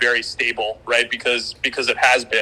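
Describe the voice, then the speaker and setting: This man has an American accent. He speaks in a bright, sharp tone. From United States. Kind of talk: casual panel discussion.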